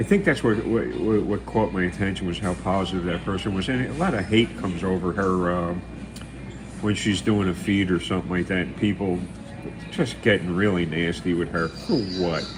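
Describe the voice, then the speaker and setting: A man with an American accent speaks at a very deep, low pitch with ordinary pitch variation. His pace is moderate, and the background noise is noticeable. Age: 70s. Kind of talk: casual live stream chat. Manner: halting, many repeated words and fillers.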